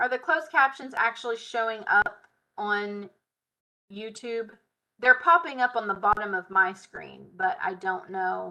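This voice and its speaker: Speaking at a fairly slow pace, a woman with a fairly high pitch and a bright, sharp tone uses lively intonation, with big swings in loudness over a quiet background. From US South. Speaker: software tutorial instructor. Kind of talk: live tutorial. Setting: live stream. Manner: casual. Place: home room. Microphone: webcam.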